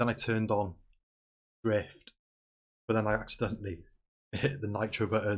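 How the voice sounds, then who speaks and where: Somewhat breathy speech unfolds at a moderate pace. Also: man. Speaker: gaming streamer. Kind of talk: gameplay commentary. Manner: animated.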